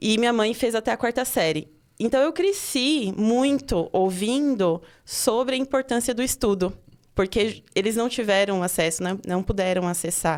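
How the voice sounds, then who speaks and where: With lively intonation and very even loudness, a woman speaks at a fairly high pitch and a moderate pace. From Pernambuco, Brazil. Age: 30s. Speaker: teacher and education researcher. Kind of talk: podcast interview.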